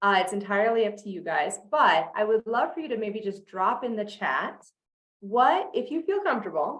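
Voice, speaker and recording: Speaking at a moderate pace, a woman with a plain, everyday voice uses lively intonation in a fairly high pitch. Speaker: sales coach. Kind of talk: online masterclass.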